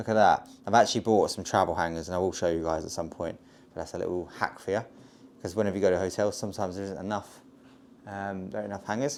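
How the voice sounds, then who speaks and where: A man talks at a very fast pace with an English accent. His pitch is fairly low and his intonation fairly even. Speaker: travel vlogger. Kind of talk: casual vlog narration. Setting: hotel.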